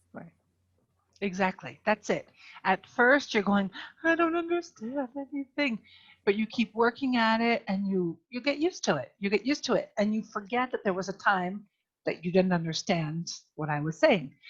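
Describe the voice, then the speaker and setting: Somewhat breathy, a woman speaks at a moderate pace with very wide pitch swings. The background is quiet. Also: fairly high pitch for a woman. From Pennsylvania, US. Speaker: English teacher. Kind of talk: online class conversation. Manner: clear, simplified speech for learners.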